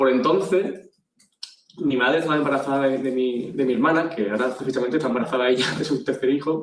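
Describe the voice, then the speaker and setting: A man at a very fast pace, fairly high pitch and ordinary pitch variation. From Andalusia, Spain (Jaén, then Ayamonte, Huelva). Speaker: agency CEO, speaker. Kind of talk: conference talk. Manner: hesitant, repeats words.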